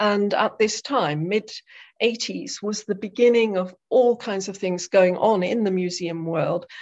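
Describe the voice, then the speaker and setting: Ordinary pitch variation marks a woman's speech in an English accent. She goes at a fairly slow pace against a quiet background. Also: medium pitch for a woman. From southwest England, Devon. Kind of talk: interview.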